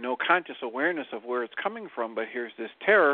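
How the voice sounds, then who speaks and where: Using a normal speaking voice, a man talks at a fairly quick pace with a medium pitch and lively intonation. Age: 60s. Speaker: psychologist and stand-in co-host. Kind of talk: casual radio talk.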